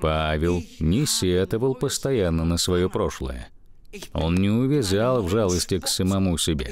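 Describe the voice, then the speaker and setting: A man with a very deep, low pitch speaks at a fairly slow pace, his pitch swinging very widely, over noticeable background noise. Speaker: preacher. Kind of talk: sermon. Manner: earnest, warm pulpit delivery, building points with emphasis and direct appeals.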